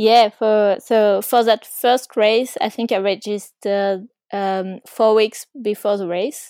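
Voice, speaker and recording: A woman with a French accent speaks at a fairly high pitch in a dark, mellow tone, monotone and flat. Her pace is very slow with hardly any pauses, and the sound is dry and close with no echo. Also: very clean recording, silent background. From France, Ardèche. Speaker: mountain bike racer. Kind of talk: interview. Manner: hesitant, many fillers.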